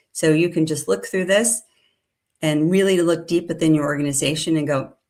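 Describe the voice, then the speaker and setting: Her pitch is fairly low. The woman's pitch variation is ordinary. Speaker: company president presenting sales research. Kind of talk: webinar presentation. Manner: fast.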